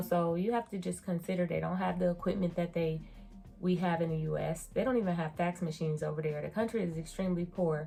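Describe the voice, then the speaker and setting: A woman speaks with an American accent at a fairly quick pace. Her pitch is fairly low. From United States. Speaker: beauty and surgery vlogger. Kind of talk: casual review vlog. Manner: animated.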